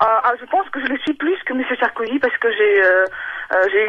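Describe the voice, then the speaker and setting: Speaking at a moderate pace with lively intonation, a woman with a fairly high pitch is heard over noticeable background noise. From Ukraine or Russia. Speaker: radio caller. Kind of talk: radio call-in testimony. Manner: halting, many hesitations.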